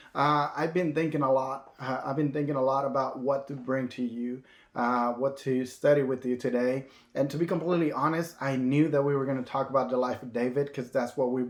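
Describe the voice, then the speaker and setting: Speaking at a fairly quick pace, a man in a Spanish accent keeps his intonation monotone and flat. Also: medium pitch for a man. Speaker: minister. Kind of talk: sermon. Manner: halting, many fillers and restarts.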